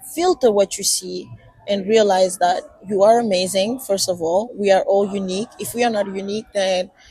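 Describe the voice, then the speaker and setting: A woman speaks at a moderate pace with a medium pitch. Her intonation is fairly even, and there is noticeable background noise. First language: not English. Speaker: podcast co-host. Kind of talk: casual chat. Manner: halting.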